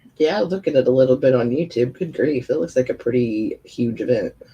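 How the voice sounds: A woman's extremely low-pitched voice, dark and mellow in tone, with a slightly husky edge and a fairly quick pace. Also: ordinary pitch variation.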